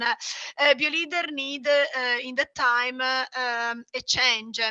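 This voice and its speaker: Speaking at a very slow pace, a woman projects a raised, high-pitched voice with fairly even intonation, recorded dry and close with no echo. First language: not English. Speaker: small business owner. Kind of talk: webinar presentation. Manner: halting, many fillers.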